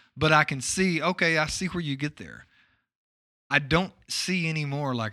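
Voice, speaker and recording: A man's bright, sharp voice with ordinary pitch variation, in a very clean recording with a silent background. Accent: Texan. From East Texas, small town. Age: middle-aged. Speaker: podcast host. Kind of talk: casual chat.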